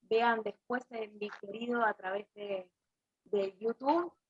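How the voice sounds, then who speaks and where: In a dry, close recording with no echo, a woman with a plain, everyday voice talks at a fairly slow pace and a fairly high pitch. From Argentina, Buenos Aires west (Coronado). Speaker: Bach flower therapist and teacher. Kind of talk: webinar presentation.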